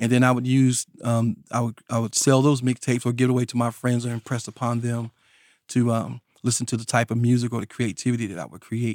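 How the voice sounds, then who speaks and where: In a Southern US accent, a man talks at a very fast pace and medium pitch with monotone, flat intonation, in a dry, close sound with no echo on a very clean recording with a silent background. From rural North Carolina. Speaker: DJ and mixtape artist. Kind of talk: interview. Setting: studio.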